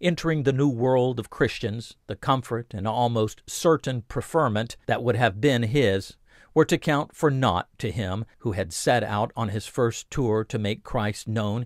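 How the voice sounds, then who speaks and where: An ordinary speaking voice at a fairly slow pace with hardly any pauses and ordinary pitch variation, with a dry, close sound with no echo on a very clean recording with a silent background. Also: man. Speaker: audiobook narrator. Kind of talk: literary audiobook reading, scripted narration of a biography. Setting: audiobook recording. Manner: measured, steady, formal, even-paced reading.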